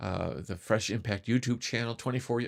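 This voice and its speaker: Very fast and with fairly even intonation, a man speaks on a very clean recording with a silent background. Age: 70s. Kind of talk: podcast sign-off; devotional talk. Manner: conversational, with fillers.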